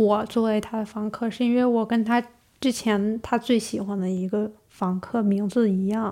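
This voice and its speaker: With a fairly high pitch and fairly even intonation, the woman has an unremarkable speaking voice. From Northeast China. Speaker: master's student. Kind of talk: interview storytelling.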